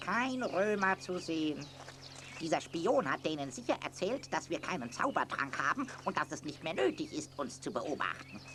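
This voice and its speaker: Using a put-on character voice, a man speaks at a moderate pace and a fairly high pitch against clear background noise. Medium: audio drama.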